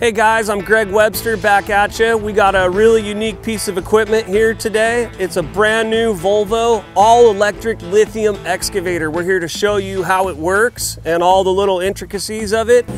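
With clear music in the background, a high-pitched man speaks at a moderate pace in a monotone, flat intonation, hardly pausing, in a dry sound with no echo. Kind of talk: tutorial. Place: open country.

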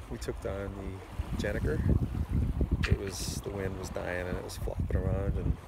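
Over loud background noise, a man speaks in a dry sound with no echo. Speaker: sailor vlogger. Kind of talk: casual vlog chat. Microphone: phone near.

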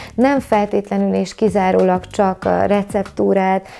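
This is a woman's voice. Her pitch sits in the middle range for a woman. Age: 40s. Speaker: vegan chef and YouTuber; YouTuber. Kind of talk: vlog monologue to camera. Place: home room. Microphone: lapel.

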